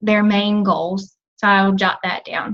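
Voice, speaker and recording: Somewhat breathy, a woman talks at a fairly slow pace. Her pitch is fairly high. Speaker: team coach. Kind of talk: team call presentation.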